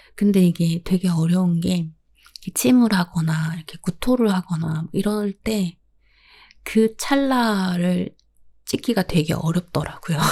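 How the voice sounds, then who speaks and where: A soft-spoken woman talks at a very slow pace in a calm, dark, mellow tone that is somewhat breathy, with ordinary pitch variation. The recording is very clean with a silent background and a dry, close sound with no echo. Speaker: podcast host. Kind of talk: solo podcast talk about pets. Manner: soft, calm, sleepy-sounding.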